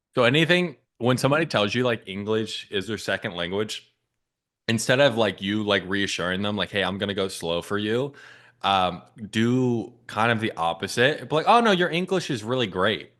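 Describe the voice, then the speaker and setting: Lively intonation carries a plain, everyday voice at a moderate pace against a quiet background. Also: man, fairly low pitch for a man. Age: 20s. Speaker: sales coach. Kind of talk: coaching session reviewing a sales call recording.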